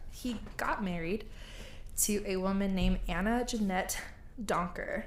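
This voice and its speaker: A woman with an American accent, fairly slow and medium-pitched, with very even loudness, fairly even intonation and audible room echo. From United States. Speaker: podcast host. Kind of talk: storytelling. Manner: casual.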